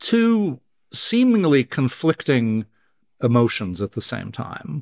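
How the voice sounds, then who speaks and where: With an American accent and lively intonation, a man talks in a very clean recording with a silent background and a dry, close sound with no echo. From US West Coast. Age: 60s. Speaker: neuroscientist. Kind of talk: interview.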